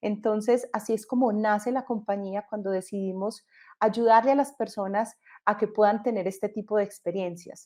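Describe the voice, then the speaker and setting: In a Colombian accent, the dark, mellow tone moves at a moderate pace with fairly even intonation over a quiet background. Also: woman. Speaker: entrepreneur. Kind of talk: panel discussion.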